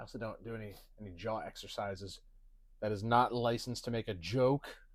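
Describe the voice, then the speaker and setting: A man talks very fast at a medium pitch, his intonation fairly even while his loudness swings widely. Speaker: podcast co-host. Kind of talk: casual chat. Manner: mumbling, slurred words; sighing, run-on sentences.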